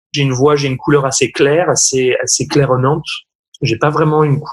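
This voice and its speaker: A man's somewhat breathy voice. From France. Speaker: opera singer. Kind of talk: interview. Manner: hesitant, many fillers and repetitions.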